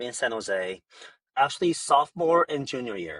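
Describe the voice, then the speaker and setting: Speaking at a moderate pace in a Korean accent, a man with a fairly high pitch uses lively intonation in a dry, close sound with no echo. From South Korea, moved to US at 13. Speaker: startup founder. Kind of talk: podcast interview.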